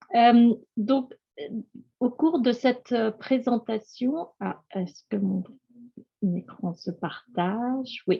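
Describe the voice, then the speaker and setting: Pausing long and often, a woman with a fairly high pitch and lively intonation speaks at a very slow pace. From France. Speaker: EU programme scientific project manager. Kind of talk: webinar presentation. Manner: halting.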